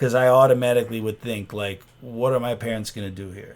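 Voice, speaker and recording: In a normal speaking voice, a man at a medium pitch talks at a moderate pace. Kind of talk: casual podcast conversation.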